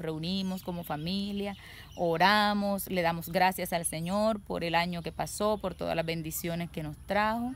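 A woman speaks fairly slowly in a medium pitch with ordinary pitch variation. The sound is dry with no echo, with light background noise. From Colombia, Córdoba department (Caribbean coast). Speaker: interviewee describing local customs; interviewee. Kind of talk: casual monologue. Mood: warm, cheerful. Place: garden. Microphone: phone near.

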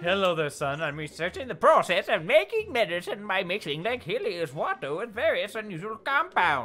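In a put-on character voice at a middle pitch, someone talks at a moderate pace with hardly any pauses over light background noise. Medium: actual play. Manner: genial, chuckling.

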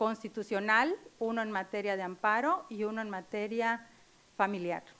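This woman's voice sits at a fairly high pitch with ordinary pitch variation. She talks at a fairly slow pace. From Mexico, Chetumal, Quintana Roo; Quintana Roo, Mexico. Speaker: lawyer, judicial candidate; candidate. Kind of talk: formal interview before legislative committee. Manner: hesitant, many fillers. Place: meeting room. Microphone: podium.

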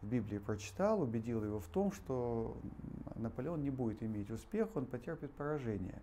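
The voice has a dark, mellow tone and very wide pitch swings. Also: man. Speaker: interview guest. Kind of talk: interview answer, storytelling. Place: hall. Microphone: lapel.

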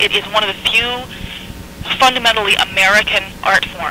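Noticeable background noise runs under a dry sound with no echo. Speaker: interviewee. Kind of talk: interview answer. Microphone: old recording.

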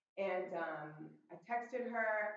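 Audible room echo and light background noise surround a woman's voice. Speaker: walk participant; presenter. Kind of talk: presentation. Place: hall. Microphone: camera far.

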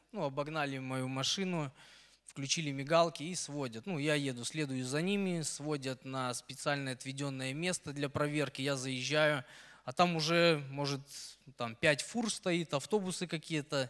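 Over a quiet background, a man talks at a fairly slow pace. He has a fairly high pitch. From Belarus, Brest region; Belarus. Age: 30s. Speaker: truck driver. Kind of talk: testimony; personal testimony story. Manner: halting. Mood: grateful, animated. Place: church. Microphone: handheld.

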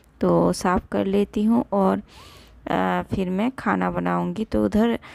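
A woman speaks at a very slow pace. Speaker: home vlogger. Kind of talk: casual vlog narration. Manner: hesitant with fillers.

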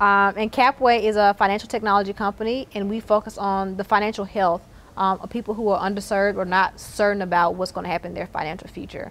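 A woman with a Southern US accent talks at a very fast pace. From Mississippi, Terry near Jackson; Mississippi. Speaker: tech entrepreneur. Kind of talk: interview. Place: hall. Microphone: lapel.

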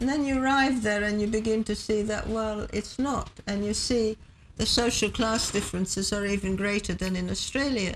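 Against light background noise, a woman speaks at a moderate pace with very even loudness, fairly even intonation and a somewhat breathy voice. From Hungary. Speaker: historian and activist; interview guest. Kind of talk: TV interview. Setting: TV studio. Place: studio.

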